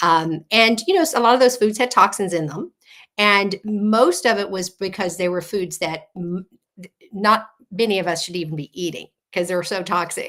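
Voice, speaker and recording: A woman talks at a moderate pace in a medium pitch, with big swings in loudness. It is a normal speaking voice. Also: ordinary pitch variation. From South Texas, Gulf Coast near Corpus Christi. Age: 60s. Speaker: health coach. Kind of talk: interview. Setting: live radio show.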